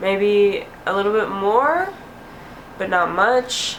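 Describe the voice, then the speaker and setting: Female speech amid obvious background noise and a noticeable room echo. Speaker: video blogger. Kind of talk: casual vlog update. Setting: home, window open.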